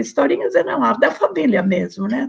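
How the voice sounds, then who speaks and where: The speaker talks at a moderate pace with vocal fry. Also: woman. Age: 90s. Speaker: interviewee, researcher's mother. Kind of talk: oral history testimony. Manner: halting.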